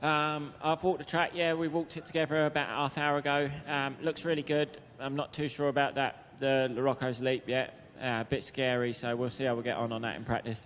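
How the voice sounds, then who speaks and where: Speaking with a southern English accent, a man talks at a fairly quick pace. His pitch is fairly high and his intonation fairly even. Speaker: motocross rider. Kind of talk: press conference answers. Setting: media center press conference.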